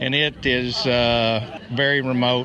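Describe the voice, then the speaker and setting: A man's medium-pitched voice at a very slow pace, with noticeable background noise. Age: 60s. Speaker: ultrarunner, former teacher. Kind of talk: casual interview.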